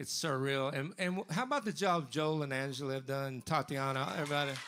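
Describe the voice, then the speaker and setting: Fairly quick pace and ordinary pitch variation on a very clean recording with a silent background. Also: man. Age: 60s. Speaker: singer-songwriter. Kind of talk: between-song stage banter. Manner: halting, with fillers.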